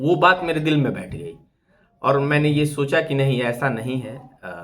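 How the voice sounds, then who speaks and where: A man talks at a moderate pace with fairly high pitch and ordinary pitch variation. His loudness swings widely, and audible room echo is present. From eastern Uttar Pradesh (Purvanchal, Bhojpuri belt). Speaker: YouTuber. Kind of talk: live stream monologue. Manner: hesitant, many fillers.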